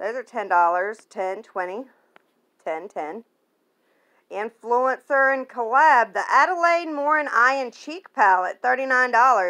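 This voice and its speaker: A woman speaks very slowly in a high, bright, sharp voice with very wide pitch swings. The background is quiet. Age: 30s. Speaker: beauty vlogger. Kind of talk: casual vlog with screen walkthrough. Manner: animated. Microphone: phone near.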